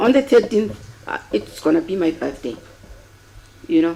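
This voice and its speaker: Over noticeable background noise, a woman talks at a moderate pace with very wide pitch swings. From South Africa, Eastern Cape (Cradock). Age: 70s. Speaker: retired teacher, inquest witness. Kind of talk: court testimony. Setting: courtroom. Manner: formal.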